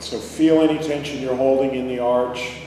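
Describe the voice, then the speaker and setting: Over noticeable background noise, a man talks at a moderate pace, his medium pitch held in fairly even intonation. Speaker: massage therapy teacher. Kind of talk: guided meditation. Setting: live in-person class or workshop. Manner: gentle, instructive.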